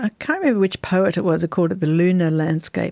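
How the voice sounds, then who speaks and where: In a very clean recording with a silent background, a woman with an Australian accent speaks in a fairly low, dark and mellow voice. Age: 50s. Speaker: novelist. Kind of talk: interview.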